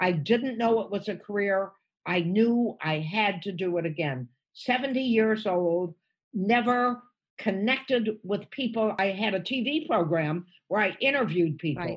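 With an American accent, a woman of medium pitch speaks at a moderate pace, her somewhat breathy voice carrying lively intonation. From United States. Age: 80s+. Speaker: stand-up comedian. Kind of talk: podcast interview answer.

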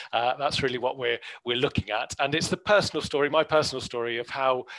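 A man in a southern English accent against a quiet background. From southern England, Hampshire; southern England. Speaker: botanist. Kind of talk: webinar talk. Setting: video call. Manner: hesitant, many fillers. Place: home room. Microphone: headset.

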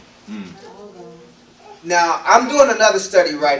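Audible room echo surrounds a man as he talks. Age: 50s. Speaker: elder / guest preacher. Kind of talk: sermon. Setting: congregation assembly. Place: hall.

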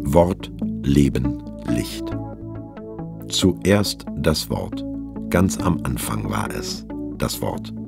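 Over music in the background, a man talks at a very slow pace with long, frequent pauses. His pitch is very deep and low, with ordinary variation. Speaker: audiobook narrator. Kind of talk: scripture audiobook reading.

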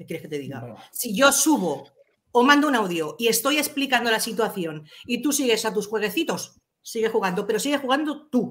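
A woman speaks fairly quickly in a fairly high voice, with some vocal fry. Her loudness swings a lot, and her pitch swings very widely. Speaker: chat moderator. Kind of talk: casual chat. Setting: video call. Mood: indignant, complaining. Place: home room. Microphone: webcam.

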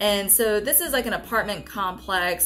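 A woman's voice with faint music in the background. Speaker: travel vlogger. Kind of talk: casual vlog chat. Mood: excited, upbeat. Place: home room.

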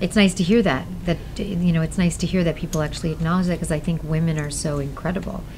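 Fairly low in pitch, a woman talks at a very fast pace with fairly even intonation. Light background noise sits underneath. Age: 50s. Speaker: voice actor and singer. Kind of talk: interview answer. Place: shop. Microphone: lapel.

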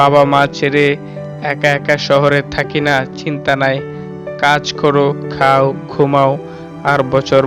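Monotone, flat intonation at a very even loudness, with music in the background. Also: man. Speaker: poetry reciter. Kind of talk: poetry reading.

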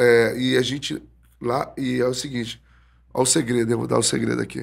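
With vocal fry and fairly even intonation, a man talks at a moderate pace. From Brazil. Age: 40s. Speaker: jiu-jitsu instructor; jiu-jitsu instructor guest. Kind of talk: casual interview. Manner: halting, repeated words. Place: studio. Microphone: studio mic.

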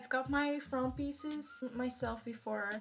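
Faint music plays behind a woman who speaks very slowly at a high pitch with fairly even intonation. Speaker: beauty vlogger. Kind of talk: casual talk to camera. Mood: playful, nervous, self-mocking. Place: home room. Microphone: phone near.

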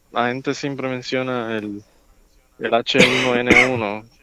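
A man is speaking. The sound is dry, with no echo. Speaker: podcast guest. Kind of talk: casual podcast conversation. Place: home room. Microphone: handheld.

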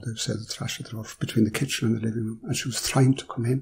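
A man with a Kerry accent talks at a very fast pace in a somewhat breathy voice, keeping his intonation fairly even. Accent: rural Irish (Kerry). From Ireland. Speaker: philosopher. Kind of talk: storytelling interview.

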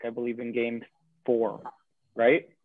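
With a Canadian accent, a man talks at a moderate pace. His pitch is medium. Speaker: podcast co-host. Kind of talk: casual chat.

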